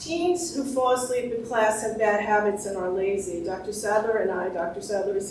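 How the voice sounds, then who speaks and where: A woman talks at a fairly quick pace and a fairly high pitch with ordinary pitch variation, amid audible room echo and noticeable background noise. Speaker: sleep researcher and professor. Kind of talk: lecture. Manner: fast.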